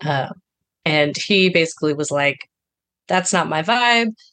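The woman's voice sits fairly low in pitch and moves with lively intonation. The sound is dry and close, with no echo. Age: 30s. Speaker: caller seeking relationship advice. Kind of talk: advice call. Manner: halting.

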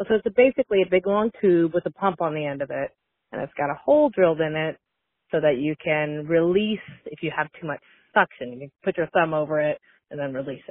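With a normal speaking voice, a woman talks at a fairly quick pace and a fairly low pitch, using lively intonation. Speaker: anonymous secret-hotline caller. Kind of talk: recorded voicemail anecdote. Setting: phone voicemail.

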